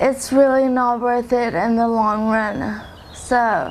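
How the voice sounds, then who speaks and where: A woman with a fairly high pitch is speaking. Noticeable background noise and audible room echo surround her voice. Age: 20s. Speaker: recovering drug user. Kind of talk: testimony. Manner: slow.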